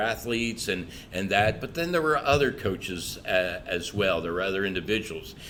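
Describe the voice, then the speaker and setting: Audible room echo surrounds a man with a bright, sharp tone and fairly low pitch who speaks at a moderate pace. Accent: American. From US South, southwest Florida. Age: 60s. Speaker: pastor and church revitalization leader. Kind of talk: podcast interview. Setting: podcast.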